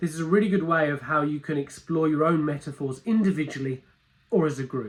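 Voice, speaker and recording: A man with a British accent talks very fast in a fairly high pitch. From London, England. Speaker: metaphor coach and workshop presenter. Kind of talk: recorded video introduction; live workshop presentation. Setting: conference stage with audience.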